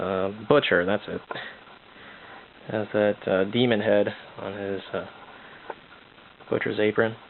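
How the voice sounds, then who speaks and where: A man mumbles at a fairly slow pace and a fairly low pitch, with monotone, flat intonation. Long, frequent pauses break up his speech, and background noise is noticeable. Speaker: amateur artist showing sketchbook. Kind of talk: casual art update monologue. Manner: mumbling; hesitant, many fillers.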